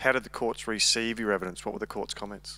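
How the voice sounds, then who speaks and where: Bright and sharp in tone, this voice has an Australian accent and a dry, close sound with no echo. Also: man. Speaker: audience member, police commander. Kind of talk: audience question.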